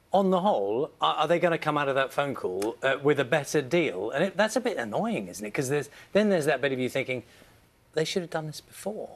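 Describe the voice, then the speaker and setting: In a British accent, a man talks at a very fast pace and a fairly high pitch. His pitch swings very widely, and vocal fry comes through. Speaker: breakfast TV news presenter. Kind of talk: TV news interview. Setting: studio. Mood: friendly, conversational. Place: studio.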